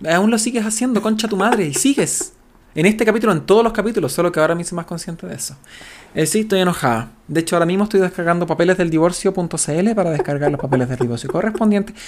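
This man talks at a very fast pace with a Chilean accent. His pitch is high and his intonation lively. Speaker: podcast co-host. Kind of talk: casual chat.

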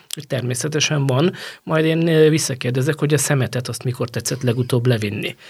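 On a very clean recording with a silent background, a man speaks at a moderate pace. His voice is somewhat breathy, with ordinary pitch variation. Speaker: journalist, former football federation women's football head. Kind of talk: interview conversation.

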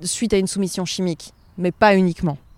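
Recorded very cleanly against a silent background, a woman is speaking. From Provence, southern France. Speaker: journalist. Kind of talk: interview, casual chat. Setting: outdoors, walking in a park.

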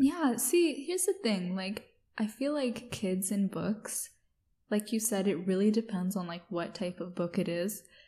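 At a fairly slow pace, a woman speaks in a medium pitch with lively intonation and a somewhat breathy, dark, mellow tone. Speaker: podcast host. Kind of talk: casual chat.

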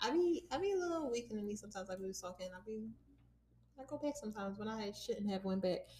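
At a very fast pace, a woman with a fairly high, somewhat breathy voice and a dark, mellow tone speaks with very wide pitch swings. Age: 20s. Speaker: podcast co-host. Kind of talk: casual chat. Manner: animated.

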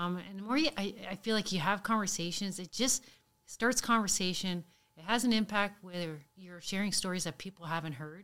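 A woman speaks at a fairly quick pace in a bright, sharp tone, with big swings in loudness and ordinary pitch variation. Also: medium pitch for a woman. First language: French. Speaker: police sergeant, guest co-host. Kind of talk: casual interview conversation.

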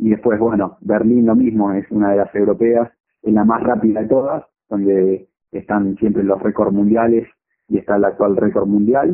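In a plain, everyday voice, a man speaks at a fairly low pitch with very even loudness. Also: fairly even intonation, moderate pace. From Argentina, Chacabuco (Buenos Aires province). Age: 30s. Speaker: marathon runner. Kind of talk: interview.

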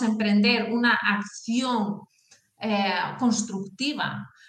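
Her voice fairly high, a woman speaks at a very slow pace. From northern Spain (Asturias). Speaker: career and talent development expert, author. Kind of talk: interview.

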